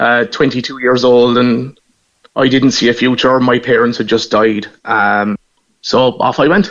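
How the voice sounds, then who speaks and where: A man with a Cork accent at medium pitch, fairly slow and fairly even in intonation, with very even loudness. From Ireland, Cork (Knocknaheeny). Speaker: Irish emigrant returning home. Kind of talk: radio phone interview.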